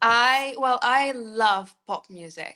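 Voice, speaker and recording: Against a quiet background, a woman speaks. Her tone is bright and sharp. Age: 30s. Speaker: singer-songwriter. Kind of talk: interview.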